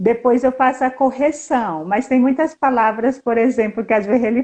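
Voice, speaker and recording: A fairly quick woman's voice, fairly high in pitch, an ordinary speaking voice. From Brazil, Northeast. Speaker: historian and fashion designer living abroad. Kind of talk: casual interview chat.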